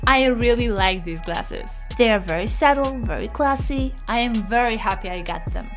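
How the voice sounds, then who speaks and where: Over clear music in the background, a woman with a Polish accent speaks in an upbeat tone at a moderate pace. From Poland. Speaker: YouTuber. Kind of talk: product review to camera. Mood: cheerful, enthusiastic. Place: home room. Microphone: studio mic.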